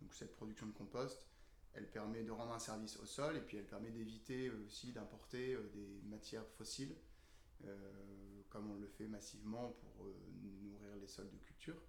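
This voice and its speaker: A man at a moderate pace, with fairly even intonation and audible room echo. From northern France, Lille area. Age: 30s. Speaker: co-founder of a food waste composting business. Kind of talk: interview. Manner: halting, many fillers.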